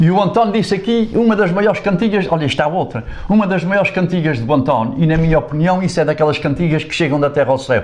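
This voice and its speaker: A high-voiced man rattles off words at a very fast pace with hardly any pauses and lively intonation, over noticeable background noise. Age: 70s. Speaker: improvising folk singer. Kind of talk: casual interview storytelling.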